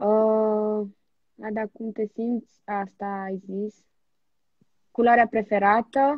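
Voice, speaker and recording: A woman's fairly high voice at a very slow pace, with long, frequent pauses, a dry sound with no echo and a quiet background. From Romania. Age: 20s. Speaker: TV presenter; live stream host. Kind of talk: casual chat. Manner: animated. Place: home room. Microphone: phone near.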